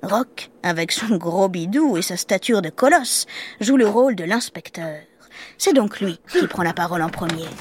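Lively intonation marks this woman's medium-pitched voice at a fairly slow pace. Noticeable background noise runs underneath. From Marseille, southern France. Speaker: podcast storyteller. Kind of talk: scripted narration. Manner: animated.

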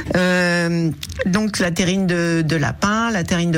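There is noticeable background noise and audible room echo. A woman speaks in a fairly low pitch. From Berry, Cher (central France). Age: 60s. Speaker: restaurant owner. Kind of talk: radio interview. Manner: halting, many repetitions.

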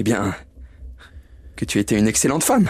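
The man's voice moves in very wide pitch swings. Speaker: actor reading character Bob Cratchit. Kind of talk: dramatized audio reading of a literary tale. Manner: warm, emotional, earnest.

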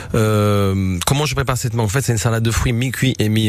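A man with a fairly low pitch is heard against noticeable background noise. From southern Italy, Apulia. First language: Italian (speaking French). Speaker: chef. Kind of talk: radio interview. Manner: halting, many repetitions.

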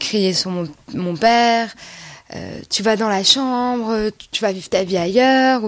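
A woman speaks at a very slow pace, with noticeable background noise around her. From rural France. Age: 20s. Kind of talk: testimony. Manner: halting.

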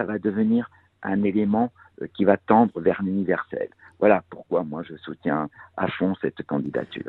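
A man speaks at a fairly slow pace with long, frequent pauses and big swings in loudness. His pitch is fairly low, with ordinary variation. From Corsica (Cap Corse, Bastia). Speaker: contemporary artist. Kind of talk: radio interview. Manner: halting, many hesitations.

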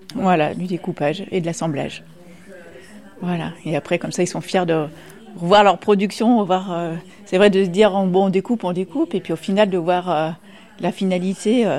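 Speech moves at a moderate pace, broken by long, frequent pauses, with ordinary pitch variation. Noticeable background noise runs underneath. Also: woman, medium pitch for a woman. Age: young. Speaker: nursing home activity coordinator. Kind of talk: interview.

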